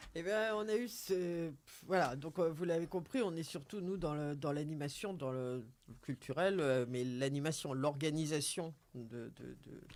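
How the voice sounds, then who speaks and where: In a very clean recording with a silent background, a man speaks fairly slowly at a fairly high pitch, with ordinary pitch variation. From northern France, Seine valley. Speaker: member of a local boating association. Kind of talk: radio interview. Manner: halting, many repetitions.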